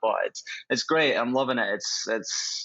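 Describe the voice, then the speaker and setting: The speaker is a man with a Scottish accent. He talks at a moderate pace. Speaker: professional footballer. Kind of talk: interview. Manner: hesitant, many fillers.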